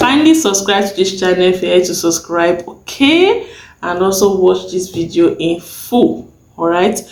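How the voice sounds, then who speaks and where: A soft-spoken woman at medium pitch, with ordinary pitch variation and a fairly slow pace. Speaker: sewing tutorial youtuber. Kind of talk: tutorial. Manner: soft-spoken, lowered voice.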